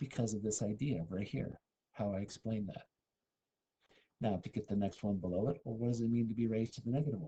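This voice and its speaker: Dark and mellow in tone, a man's somewhat breathy voice rushes at a very fast pace broken by long, frequent pauses. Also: ordinary pitch variation. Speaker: math teacher. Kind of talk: lecture. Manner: whispering briefly.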